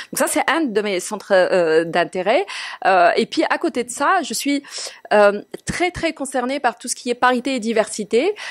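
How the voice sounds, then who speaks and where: A woman speaks with a high pitch at a fairly slow pace. Her pitch swings very widely. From Morocco. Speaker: TV journalist and presenter. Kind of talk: interview. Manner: hesitant, many fillers.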